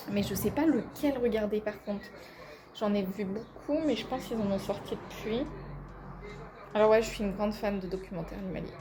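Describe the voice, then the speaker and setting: Pausing long and often, a woman speaks with ordinary pitch variation amid audible room echo and noticeable background noise. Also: fairly high pitch for a woman, fairly quick pace. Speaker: vlogger and university student. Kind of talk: casual vlog talk to camera. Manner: hesitant, many fillers.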